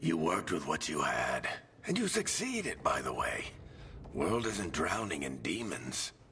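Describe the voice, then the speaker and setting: Clear background noise is present. Over it, a man puts on a character voice. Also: moderate pace. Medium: video game. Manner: wry, casual.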